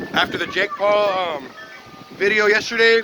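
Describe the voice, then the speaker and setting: The delivery is fairly slow. Background music can be heard. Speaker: vlogger. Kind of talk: casual vlog. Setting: outdoors in sandstorm. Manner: loud; animated.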